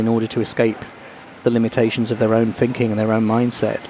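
A man talks very fast while noticeable background noise carries on around him. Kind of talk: casual interview. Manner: humorous.

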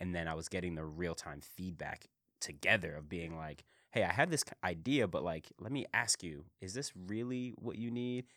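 A man with an American accent speaks in a very deep, low pitch. His tone is bright and sharp, and his intonation lively. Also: moderate pace. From Philadelphia, US. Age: 20s. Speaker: entrepreneur. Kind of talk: casual interview.

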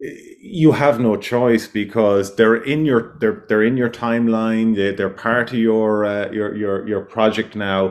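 An Irish accent at a fairly slow pace. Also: man, quiet background. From west of Ireland. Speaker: self-builder. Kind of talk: interview. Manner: halting.

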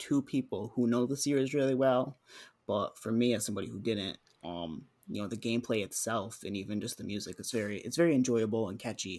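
A man's normal speaking voice at a medium pitch and fairly quick pace, with ordinary pitch variation, in a very clean recording with a silent background. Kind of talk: casual chat.

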